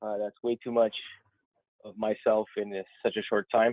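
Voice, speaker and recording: A man in a French Canadian accent. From Quebec, Montreal. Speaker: software technical specialist. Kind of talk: technical presentation. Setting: webinar call.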